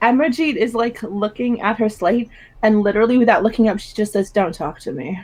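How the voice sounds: Fairly even intonation in a natural reading voice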